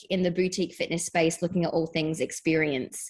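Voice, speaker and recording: A woman with a British accent speaks at a fairly low pitch with fairly even intonation. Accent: British accent, noticeable. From England. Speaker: fitness educator. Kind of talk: interview.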